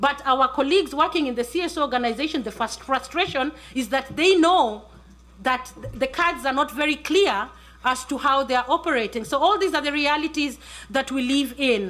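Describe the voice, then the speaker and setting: Noticeable background noise runs behind a woman speaking at a moderate pace. Her high pitch carries ordinary pitch variation. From Kenya. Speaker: journalist. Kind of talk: panel talk.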